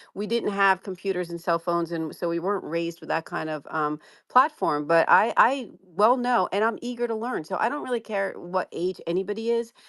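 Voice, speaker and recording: Very clean recording, silent background, and a woman with a New Jersey accent at a medium pitch, fairly quick pace and lively intonation. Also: hardly any pauses. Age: 60s. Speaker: commercial real estate lawyer. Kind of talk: interview, personal background story.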